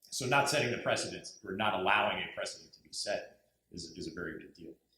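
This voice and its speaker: A man speaks with an American accent. Audible room echo is present. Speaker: diplomat. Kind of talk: panel presentation. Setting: university lecture hall with audience. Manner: halting.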